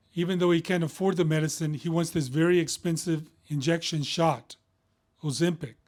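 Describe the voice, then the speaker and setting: A man with a plain, everyday voice, fairly high pitch, fairly quick pace and fairly even intonation. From Texas, Houston. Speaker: physician. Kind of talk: casual medical explainer. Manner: conversational with frequent fillers.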